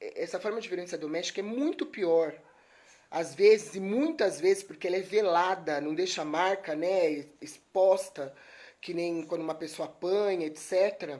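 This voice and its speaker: Against a silent background on a very clean recording, a woman speaks in a dark, mellow tone with fairly even intonation. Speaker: lawyer giving a talk. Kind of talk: live stream talk. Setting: live stream. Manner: soft-spoken.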